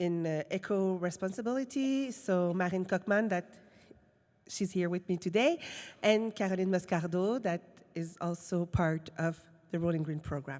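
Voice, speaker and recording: This woman speaks with a Quebec accent at a moderate pace, her medium pitch showing ordinary variation. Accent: francophone Quebec. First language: French. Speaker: film industry program director. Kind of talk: conference presentation. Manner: halting.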